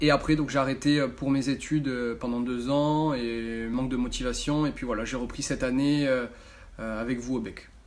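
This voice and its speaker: Audible room echo surrounds a man speaking at a moderate pace. His medium-pitched delivery is monotone and flat. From France, Bordeaux area (Gironde). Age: 20s. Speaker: amateur footballer and club intern. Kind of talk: interview answers to camera. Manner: halting, many fillers.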